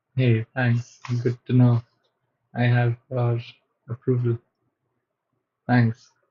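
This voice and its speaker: Somewhat breathy and with a non-native accent, a man speaks very slowly in a medium pitch, his intonation monotone and flat, with long, frequent pauses. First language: not English. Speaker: software developer streamer. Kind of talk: live coding stream chat. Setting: live stream. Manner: hesitant, many fillers.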